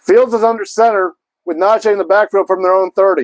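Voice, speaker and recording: A loud man's voice, high-pitched for a man, at a very fast pace, with a dry, close sound and no echo. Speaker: sports streamer. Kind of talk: live commentary. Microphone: mic cutting in and out.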